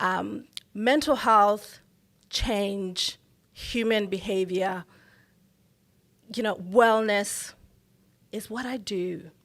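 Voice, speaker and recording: A woman with a Botswana accent speaks at a very slow pace in a medium pitch, with long, frequent pauses. Her loudness swings widely, and the recording is very clean, with a silent background. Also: ordinary pitch variation. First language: Setswana. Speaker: mental health professional. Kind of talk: interview.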